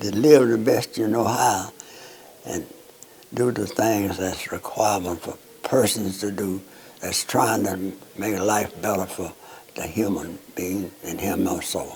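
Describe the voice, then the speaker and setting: A Southern US accent at a fairly slow pace, with long, frequent pauses and noticeable background noise. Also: man, fairly low pitch for a man, ordinary pitch variation. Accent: Southern American. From North Alabama. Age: 80s+. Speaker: World War II veteran. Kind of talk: interview answer.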